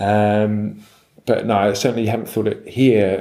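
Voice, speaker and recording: With a London accent, this man has a dark, mellow tone and a monotone, flat delivery. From England, London. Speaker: surf guide publisher. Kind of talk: interview. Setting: surf lodge. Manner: halting.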